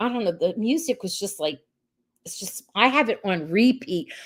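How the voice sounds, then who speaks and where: On a very clean recording with a silent background, a woman with a medium-pitched voice speaks at a moderate pace with an animated tone, lively intonation and big swings in loudness. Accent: New Jersey. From US Northeast, South Jersey. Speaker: podcast host. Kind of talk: casual livestream recap.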